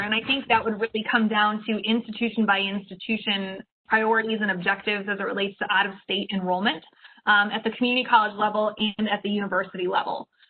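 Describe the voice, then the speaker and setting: Her voice fairly high, a woman talks at a very fast pace. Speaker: state higher education staff presenter. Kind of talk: meeting presentation. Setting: video call.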